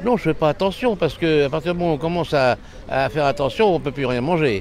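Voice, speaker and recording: Noticeable background noise surrounds a man talking at a very fast pace with lively intonation and a fairly high pitch. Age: 80s. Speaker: elderly interviewee. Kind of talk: street interview.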